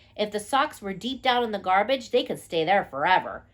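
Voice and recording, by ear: Ordinary pitch variation runs through this passage, which is reading aloud in a natural voice.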